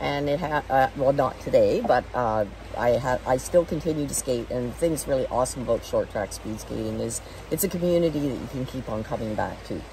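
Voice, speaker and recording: A woman speaks fairly quickly, noticeable background noise sounding around her. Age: 60s. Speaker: veterinarian and former masters speed skater. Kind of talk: interview answer.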